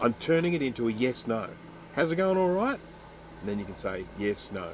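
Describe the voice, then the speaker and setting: At a fairly quick pace, a man with an Australian accent talks with lively intonation. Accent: Australian, slurred. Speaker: electronics repair streamer. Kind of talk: live stream chat while repairing. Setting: live stream. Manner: casual, chatty.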